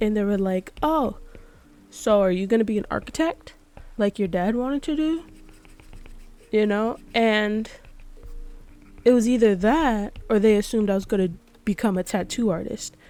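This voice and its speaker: With music in the background, the speaker keeps a moderate pace and ordinary pitch variation, leaving long, frequent pauses. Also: woman, fairly high pitch for a woman. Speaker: artist and drawing vlogger. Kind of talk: casual chat. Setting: home recording, late at night. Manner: soft-spoken.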